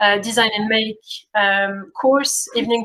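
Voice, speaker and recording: A woman's fairly high voice in a French accent, at a moderate pace. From France. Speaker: community program coordinator. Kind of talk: workshop introduction. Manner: hesitant, many fillers.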